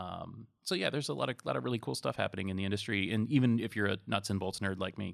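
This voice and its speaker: Speaking very fast with hardly any pauses, a man uses an American accent and a fairly low pitch with ordinary variation. The recording is very clean, with a silent background. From Massachusetts. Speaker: IT industry analyst. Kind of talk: casual interview chat.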